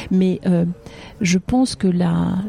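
Her voice is fairly low-pitched and somewhat breathy, with a dark, mellow tone. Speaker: business executive. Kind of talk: interview. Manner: halting.

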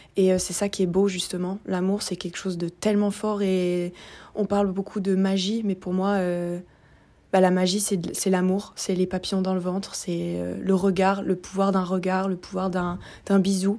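Her delivery is monotone and flat, at a fairly slow pace and medium pitch, with a dark, mellow tone. The woman is heard on a very clean recording with a silent background. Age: 20s. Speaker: singer-songwriter. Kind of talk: casual self-introduction monologue. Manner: hesitant, with filler words.

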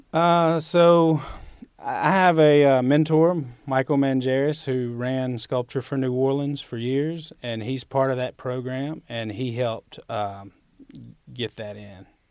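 A man with a Southern accent at a medium pitch and a fairly slow pace, with ordinary pitch variation, big swings in loudness and a quiet background. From Mississippi (Winona). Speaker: sculptor. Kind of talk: interview. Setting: studio.

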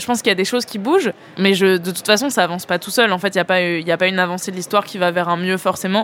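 A woman speaking very fast over noticeable background noise. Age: 20s. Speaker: local politician. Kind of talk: interview.

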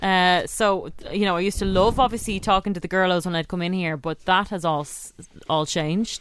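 With an Irish accent, a woman speaks at a fairly quick pace and medium pitch, her intonation fairly even, in a very clean recording with a silent background. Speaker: radio host. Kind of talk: casual chat. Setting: studio.

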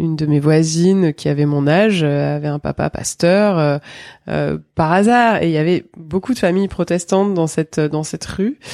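Over a quiet background, a woman speaks very deep and low, with a dark, mellow tone and ordinary pitch variation. Her pace is fairly slow, and the sound is dry and close with no echo. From France, Drôme. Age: 40s. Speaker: theologian and author. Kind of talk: interview conversation. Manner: halting.

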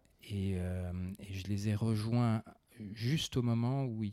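A man with a fairly low pitch speaks in a dark, mellow tone with fairly even intonation. The sound is dry and close with no echo, on a very clean recording with a silent background. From France, Besançon. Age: 40s. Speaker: finance executive. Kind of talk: interview. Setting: in the host's living room.

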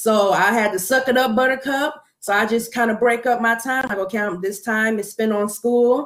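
A woman with an unremarkable speaking voice talks at a moderate pace and fairly high pitch, with fairly even intonation and hardly any pauses. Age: 20s. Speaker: skincare entrepreneur. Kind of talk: casual chat. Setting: live stream.

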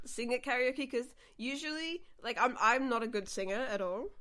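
Speaking at a fairly quick pace, a woman with an Australian accent uses a high pitch, ordinary pitch variation, an animated tone and a bright, sharp sound. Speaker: comedian. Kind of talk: casual chat.

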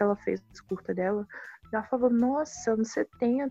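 Music plays behind a woman whose pitch is fairly high. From Rio de Janeiro, Baixada Fluminense. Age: 20s. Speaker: filmmaker. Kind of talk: interview.

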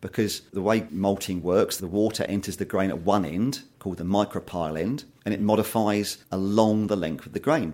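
A man speaks at a moderate pace in a fairly low pitch and a dark, mellow tone, with ordinary pitch variation, in a very clean recording with a silent background. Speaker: maltster. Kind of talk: interview about malting.

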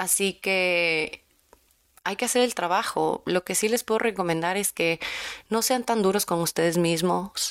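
A woman's medium-pitched voice with ordinary pitch variation. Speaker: podcast host. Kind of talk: casual monologue.

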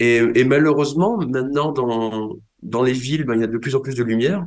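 This man has a plain, everyday voice, talking at a moderate pace with a medium pitch that varies in an ordinary way. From Brittany, France. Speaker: astrophysicist. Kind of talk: interview.

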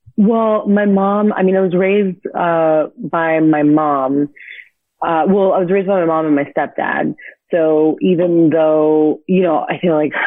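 Fairly low in pitch, a woman talks at a fairly slow pace. Her loudness stays very even, and her pitch varies in an ordinary way. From Miami, Florida (Hialeah). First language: Spanish. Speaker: actress. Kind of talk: interview.

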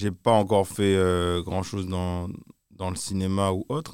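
The man's voice is fairly low in pitch, captured on a very clean recording with a silent background. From Martinique. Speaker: music video director. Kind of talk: interview. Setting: live event venue. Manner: halting.

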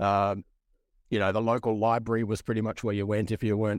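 Monotone, flat intonation with an Australian accent at a fairly quick pace, dry and close with no echo. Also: man. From Australia, Broken Hill, far west New South Wales. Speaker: indie horror author and publisher. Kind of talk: casual interview chat. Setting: remote call.

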